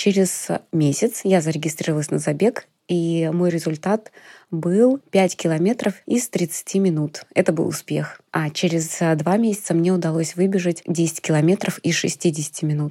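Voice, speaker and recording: On a very clean recording with a silent background and a dry, close sound with no echo, a woman speaks at a fairly slow pace in a fairly low pitch with a dark, mellow tone and ordinary pitch variation. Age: 30s. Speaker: amateur runner. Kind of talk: personal testimony.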